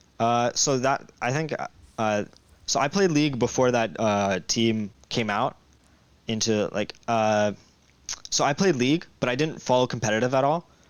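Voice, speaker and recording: A man speaks at a moderate pace and a medium pitch, with ordinary pitch variation and very even loudness. Long pauses break up his speech often. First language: Russian. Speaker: esports pro player. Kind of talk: interview. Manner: hesitant, many fillers.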